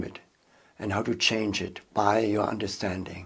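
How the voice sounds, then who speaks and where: A man with a German accent at a fairly slow pace. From Germany. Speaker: seminar leader and online course instructor. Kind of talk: course introduction.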